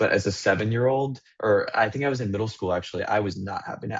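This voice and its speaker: Speaking at a very fast pace, a man with a fairly low voice sounds somewhat breathy, his pitch varying in an ordinary way. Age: 20s. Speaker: student mentor panelist. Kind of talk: virtual panel discussion. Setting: video call.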